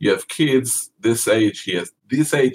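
A man with a non-native accent speaks at a medium pitch in a somewhat breathy voice, the sound dry and close with no echo. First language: not English. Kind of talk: interview. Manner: halting.

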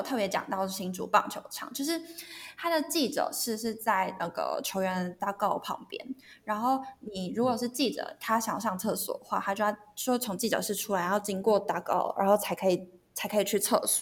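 A somewhat breathy woman's voice, fairly high in pitch, with ordinary pitch variation. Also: moderate pace. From Taiwan, Hsinchu. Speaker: sports media content editor. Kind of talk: casual chat.

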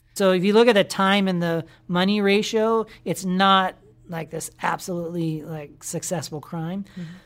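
A woman speaks in a normal speaking voice at medium pitch and a moderate pace. Her intonation stays fairly even while her loudness swings widely. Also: very clean recording, silent background. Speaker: FBI agent. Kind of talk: interview.

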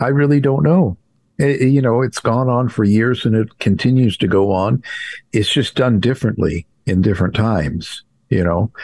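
A man talks in a plain, everyday voice with lively intonation. His loudness stays very even over a quiet background. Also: medium pitch for a man, moderate pace. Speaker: true crime author and radio host. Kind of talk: interview conversation.

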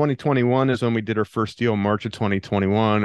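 In an American accent, a man with a plain, everyday voice speaks at a medium pitch with fairly even intonation, the sound dry and close with no echo against a quiet background. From Pennsylvania, US. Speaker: land investor. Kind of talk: interview.

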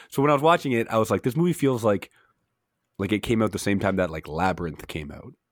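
In a very clean recording with a silent background, a man speaks very fast with a fairly low pitch, an energetic tone and very wide pitch swings. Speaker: substitute podcast host. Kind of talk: casual chat.

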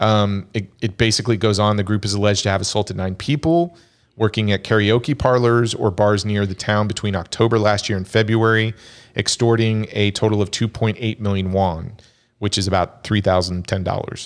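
A man's ordinary speaking voice, fairly low in pitch and fairly quick in pace, on a very clean recording with a silent background. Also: fairly even intonation. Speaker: podcast host. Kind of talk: casual chat.

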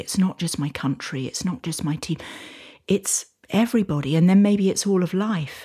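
This woman has a British accent and a fairly low pitch. Her pitch varies in an ordinary way. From UK. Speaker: social enterprise founder, author. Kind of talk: casual interview conversation. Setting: in a hut in person.

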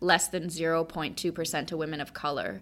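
Speaking at a fairly quick pace, a woman has an unremarkable speaking voice with a fairly low pitch. The recording is very clean, with a silent background. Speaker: founder and speaker on women's finance. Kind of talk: casual interview chat.

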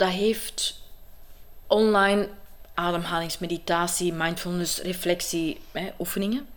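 In an ordinary speaking voice, a woman talks at a fairly slow pace. Her pitch sits in the middle and her intonation is fairly even. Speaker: actress and coach. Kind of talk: interview. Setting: at her home.

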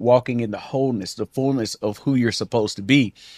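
A man's fairly quick, fairly even delivery at medium pitch, an ordinary speaking voice with dry, close sound and no echo. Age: 40s. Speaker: marriage podcast co-host. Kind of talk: casual chat.

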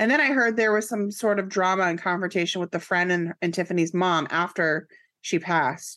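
Against a quiet background, a woman talks at a fairly quick pace with a bright, sharp tone, very even loudness and ordinary pitch variation. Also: medium pitch for a woman. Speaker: podcast co-host. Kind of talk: casual chat. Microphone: new microphone and headphones.

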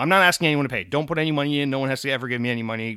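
A man speaks at a very fast pace with an American accent, his tone animated, bright and sharp, his pitch medium with ordinary variation. The recording is very clean, with a silent background. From Providence, Rhode Island (US Northeast). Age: 20s. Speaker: gaming podcast host. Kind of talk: casual solo podcast talk. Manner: animated, casual.

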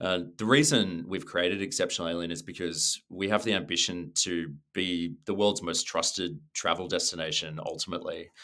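With an Australian accent, a man speaks at a moderate pace with hardly any pauses on a very clean recording with a silent background. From Australia, Sydney. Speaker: travel company co-founder, former advertising creative director. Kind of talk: interview.

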